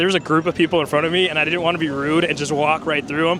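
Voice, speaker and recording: Talking very fast with fairly even intonation, a man speaks at a fairly high pitch over noticeable background noise. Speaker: theme park vlogger. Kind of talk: walking vlog. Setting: outdoors at a theme park.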